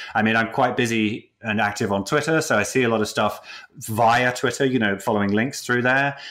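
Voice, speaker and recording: In a British accent, a man speaks fairly quickly at medium pitch, with a bright, sharp tone, very even loudness and fairly even intonation. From UK. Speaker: character animator. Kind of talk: interview. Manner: halting.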